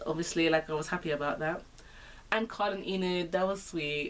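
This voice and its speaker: A woman speaks with a London accent. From Britain. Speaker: vlogger. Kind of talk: casual talk to camera.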